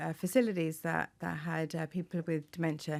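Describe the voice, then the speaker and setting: A woman with an Irish accent at a fairly quick pace, on a very clean recording with a silent background. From Ireland, Tipperary. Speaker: occupational therapist. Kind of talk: interview. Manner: hesitant, many fillers.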